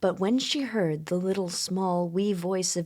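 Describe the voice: The reading is plain and aloud, and the intonation stays fairly even.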